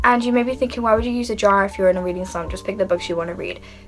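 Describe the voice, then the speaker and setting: A woman speaks at a medium pitch with ordinary pitch variation. Noticeable background noise sits behind her. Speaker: book vlogger. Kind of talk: casual vlog monologue. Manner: animated, enthusiastic.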